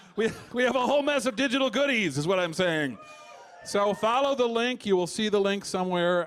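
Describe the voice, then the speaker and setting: With a Chicago accent, a man talks at a fairly quick pace in a high pitch, with lively intonation and very even loudness. Noticeable background noise is present. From Chicago, US Midwest. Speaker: comedian. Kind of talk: live comedy show banter. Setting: stage with audience.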